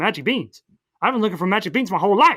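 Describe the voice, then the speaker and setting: In a put-on character voice, the speaker races at a very fast pace with a fairly high pitch. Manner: smooth, charming.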